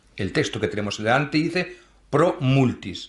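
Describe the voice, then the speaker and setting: With a Madrid accent, a man speaks at a very slow pace, his pitch swinging very widely. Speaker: priest. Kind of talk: lecture with Q&A. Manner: conversational, self-correcting.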